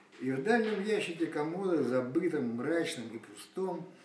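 A fairly high-pitched man speaks fairly slowly with lively intonation, amid audible room echo and light background noise. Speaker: poet. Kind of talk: poetry reading. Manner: ironic, mocking. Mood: wry, ironic. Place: home room. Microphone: phone near.

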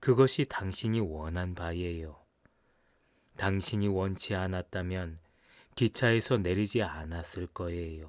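Calm in tone, a man with a very deep, low voice speaks at a very slow pace with ordinary pitch variation in a very clean recording with a silent background. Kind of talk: audiobook narration of a short story, read aloud in first person. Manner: calm, measured, wistful storyteller's pace.

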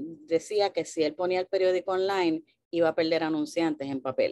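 A dark, mellow tone is heard at a moderate pace. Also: woman. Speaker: journalist and news outlet founder; journalist, news outlet founder. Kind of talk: panel talk. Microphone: video call.

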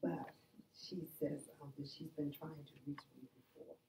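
A woman with a very deep, low pitch speaks at a fairly slow pace, her tone dark and mellow with vocal fry. Light background noise and audible room echo are present. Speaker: workshop participant; spiritual teacher. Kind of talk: group sharing. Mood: cheerful, laughing. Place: home room. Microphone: camera far.

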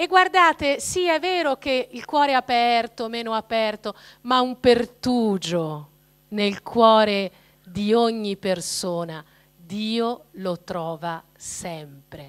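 Against a quiet background, a woman speaks at a very slow pace with very wide pitch swings and big swings in loudness. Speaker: speaker. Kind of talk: talk to a parish audience. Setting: parish hall with live audience. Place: hall. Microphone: handheld.

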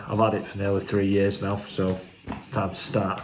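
A man with a plain, everyday voice, fairly low in pitch, talks at a fairly quick pace over light background noise. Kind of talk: casual unboxing vlog chat. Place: kitchen. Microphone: phone near.

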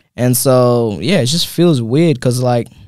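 A man with a dark, mellow tone at a moderate pace, in a dry sound with no echo and a quiet background. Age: 20s. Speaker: MMA fighter; guest. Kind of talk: casual interview. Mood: calm, reflective. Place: studio. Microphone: studio mic.

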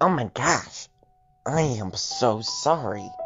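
Over faint background music, a man puts on a character voice, fairly high-pitched and very slow.

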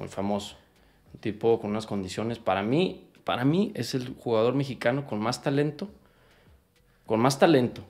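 A man speaks at a moderate pace with lively intonation. Long, frequent pauses break up his speech. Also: medium pitch for a man. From Mexico. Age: 30s. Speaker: professional footballer; interview guest. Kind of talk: interview. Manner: animated. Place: home room. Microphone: studio mic.

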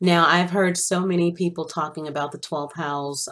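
A woman at a moderate pace with ordinary pitch variation, in a quiet background. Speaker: astrology channel host. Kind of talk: casual talk to viewers about astrology. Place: home room.

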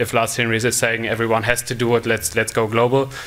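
A man with a German accent and a bright, sharp tone. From Germany. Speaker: conference speaker, mobile product developer. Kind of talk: conference talk. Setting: stage with audience. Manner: halting, many fillers. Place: stage. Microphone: podium.

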